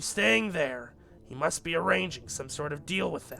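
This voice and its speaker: With clear music in the background, a man does a raspy put-on character voice at a fairly high pitch with very wide pitch swings. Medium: game stream. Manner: calm, practical.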